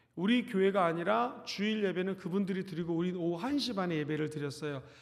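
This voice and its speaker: The speaker is a man with a high voice. Room echo is audible. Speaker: pastor. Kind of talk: sermon. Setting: church.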